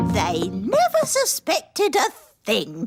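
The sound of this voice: Over loud music in the background, a squeaky, cartoonish character voice talks at a fairly slow pace.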